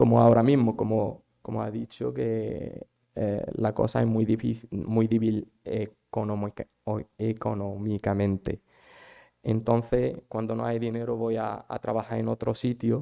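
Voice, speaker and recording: A man talks fairly slowly, and the sound is dry and close, without any echo. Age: 20s. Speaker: migrant volunteer. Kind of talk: personal testimony. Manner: halting.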